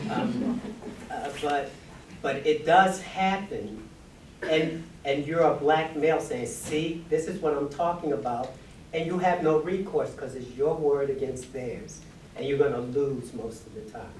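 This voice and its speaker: A man with a fairly high pitch talks at a fairly slow pace with lively intonation. Audible room echo and noticeable background noise surround him. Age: 60s. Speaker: audience member. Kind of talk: audience question.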